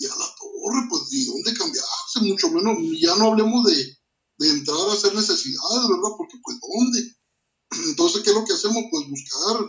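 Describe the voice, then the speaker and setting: At a moderate pace, a man speaks with an extremely high pitch and very wide pitch swings. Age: 40s. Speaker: martial arts instructor. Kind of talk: interview. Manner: halting, many repetitions.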